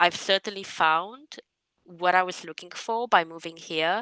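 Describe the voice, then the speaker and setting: In a Romanian accent, a woman speaks at a fairly slow pace with a bright, sharp tone, the sound dry and close with no echo against a quiet background. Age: 20s. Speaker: public servant and writer. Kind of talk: interview.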